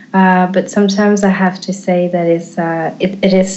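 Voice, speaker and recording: Someone speaks at a moderate pace with an Eritrean accent. The intonation stays fairly even. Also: woman. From Switzerland, French-speaking. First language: Tigrinya. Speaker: activist. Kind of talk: interview. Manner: halting, many fillers.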